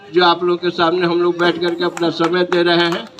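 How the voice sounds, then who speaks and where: A man speaks at a moderate pace in a high pitch. There is noticeable background noise. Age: 70s. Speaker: party leader. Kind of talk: political rally speech.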